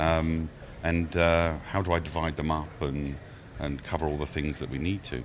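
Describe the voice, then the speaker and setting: A man with a very deep, low voice talks at a moderate pace in a monotone, flat delivery, with audible room echo. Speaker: tech company marketing director. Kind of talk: casual podcast chat. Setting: conference recording studio. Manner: hesitant, many fillers.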